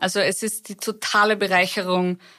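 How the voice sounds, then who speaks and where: On a very clean recording with a silent background, a woman talks at a medium pitch and moderate pace in a flat, monotone way. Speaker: expat graduate. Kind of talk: casual chat. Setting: studio.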